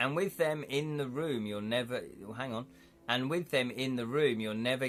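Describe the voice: The delivery is plain reading aloud. Pitch varies in an ordinary way.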